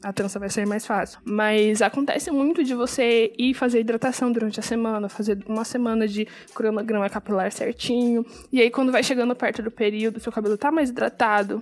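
Noticeable background noise sits behind a woman speaking at a fairly quick pace. Her fairly high voice keeps a fairly even intonation. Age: 20s. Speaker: podcast host. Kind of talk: casual solo podcast talk. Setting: recording at home at night.

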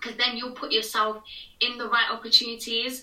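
Woman with a British accent, fairly high pitch and a moderate pace, amid noticeable background noise. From England. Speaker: TV presenter. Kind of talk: casual interview chat.

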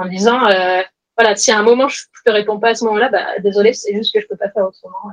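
The sound is dry and close, with no echo. A woman with a fairly high pitch talks at a very fast pace. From France, Grenoble. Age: 30s. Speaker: entrepreneur. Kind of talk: interview.

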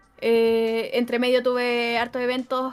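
Music plays in the background as a woman with a Chilean accent speaks at a fairly high pitch. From Chile, Santiago. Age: 20s. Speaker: esports caster. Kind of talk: casual interview chat.

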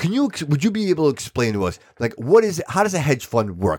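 A man with vocal fry speaks in an animated tone at a fairly quick pace. His pitch swings very widely, and the recording is very clean with a silent background. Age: 40s. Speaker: podcast host. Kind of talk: casual chat. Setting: studio.

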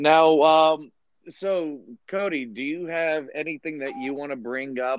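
The man has an ordinary speaking voice, pitched fairly high, with ordinary pitch variation. He talks at a fairly slow pace. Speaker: podcast host. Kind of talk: casual chat. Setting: video call.

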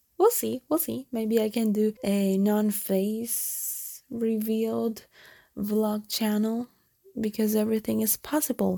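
Her tone dark and mellow, a woman speaks very slowly with fairly even intonation in a dry, close sound with no echo. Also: fairly high pitch for a woman. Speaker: solo podcaster. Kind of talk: casual monologue. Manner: frequent laughing.

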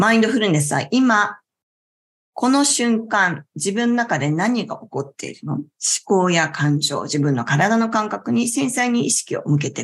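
At a moderate pace, a woman with a medium, somewhat breathy voice speaks with very wide pitch swings and big swings in loudness. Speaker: yoga instructor and talk show host. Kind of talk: relaxed talk show livestream. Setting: live online class stream. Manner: calm, gentle.

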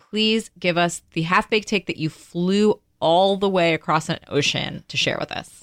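A normal speaking voice at a moderate pace, fairly even in intonation, with a dry, close sound and no echo. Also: woman, medium pitch for a woman. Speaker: podcast co-host. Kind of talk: casual interview chat.

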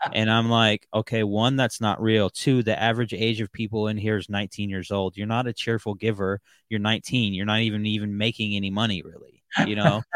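Speaking with an American accent, a man keeps a fairly low pitch and a fairly quick pace in a monotone, flat intonation. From Seattle area, Washington. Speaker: podcast host. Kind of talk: casual interview. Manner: hesitant, many fillers.

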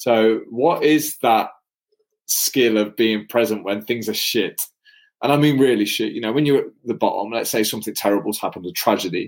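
A man's unremarkable speaking voice at medium pitch, moderate pace and ordinary pitch variation. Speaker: podcast host. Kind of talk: casual chat. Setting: live stream. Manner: casual, laughing.

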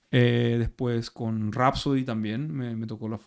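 A man's plain, everyday voice at a medium pitch, fairly slow in pace. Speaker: actor and metal musician. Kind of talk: casual chat.

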